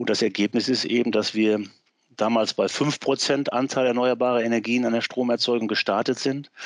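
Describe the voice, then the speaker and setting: A man speaks with monotone, flat intonation. His loudness stays very even. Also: medium pitch for a man, moderate pace. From Westphalia, Germany. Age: 60s. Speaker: professor and former politician. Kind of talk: interview.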